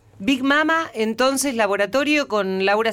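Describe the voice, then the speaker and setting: An unremarkable speaking voice, fairly slow and lively in intonation, over a very clean recording with a silent background. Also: woman. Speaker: radio host. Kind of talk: radio interview show.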